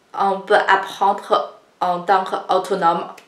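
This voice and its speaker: A woman of medium pitch speaks at a very slow pace with a Chinese accent, amid noticeable background noise and audible room echo. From China. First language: Chinese (speaking French). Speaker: Chinese language teacher. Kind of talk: tutorial.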